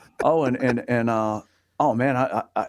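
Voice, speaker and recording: A man speaks with an Alabama accent and ordinary pitch variation. The recording is very clean, with a silent background and a dry, close sound with no echo. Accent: US Southern (Alabama). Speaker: gospel radio DJ. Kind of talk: casual chat. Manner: halting, many fillers.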